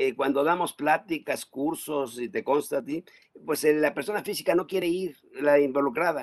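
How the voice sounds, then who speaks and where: A man speaks at a moderate pace in an unremarkable speaking voice. His pitch is fairly high, with ordinary pitch variation. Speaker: tax accountant. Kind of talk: casual chat.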